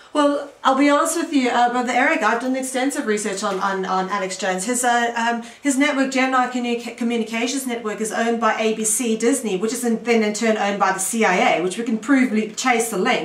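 A woman's fairly high voice at a fairly quick pace, with ordinary pitch variation, audible room echo and noticeable background noise. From South Africa. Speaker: radio host and author. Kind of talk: interview. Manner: halting.

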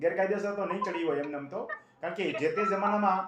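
A high-pitched man with ordinary pitch variation and audible room echo. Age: 60s. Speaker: agricultural land-law advisor. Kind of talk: phone-in advice.

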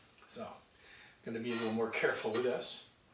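Audible room echo surrounds a man's voice. He speaks at a very fast pace. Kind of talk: casual workshop vlog chat. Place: workshop. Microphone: camera far.

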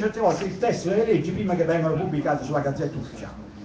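Over noticeable background noise, a man with a high pitch talks with lively intonation. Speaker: attendee speaker. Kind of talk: public assembly speech.

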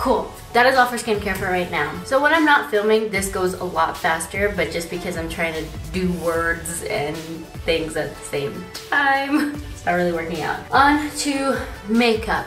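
Clear music sits behind a woman speaking at a moderate pace. Her loudness swings widely, and room echo is audible. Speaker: beauty vlogger. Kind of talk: casual vlog tutorial. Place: bathroom. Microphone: phone near.

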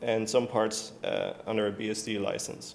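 Speaking with a Dutch accent, a man talks at a fairly slow pace. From Netherlands. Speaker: software developer; conference presenter. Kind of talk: conference talk. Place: stage.

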